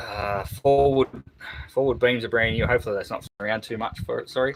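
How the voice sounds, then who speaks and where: Fairly even in intonation, a man speaks with an Australian accent. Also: medium pitch for a man, fairly quick pace. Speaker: boat restoration youtuber. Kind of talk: casual live stream chat. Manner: halting, many fillers.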